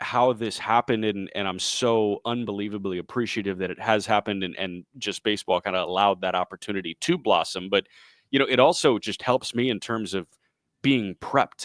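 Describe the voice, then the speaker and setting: Recorded dry and close with no echo, a man talks at a fairly quick pace in a fairly low voice. His is an unremarkable speaking voice with ordinary pitch variation. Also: very clean recording, silent background. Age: 20s. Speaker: baseball radio play-by-play announcer. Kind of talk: podcast interview answer. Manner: conversational, fluent.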